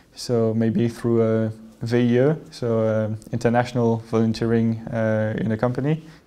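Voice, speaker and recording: A man's dark, mellow voice at medium pitch, monotone and flat, at a fairly slow pace with very even loudness. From France. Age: 20s. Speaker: business school student. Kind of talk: testimony. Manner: hesitant, many fillers. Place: hall.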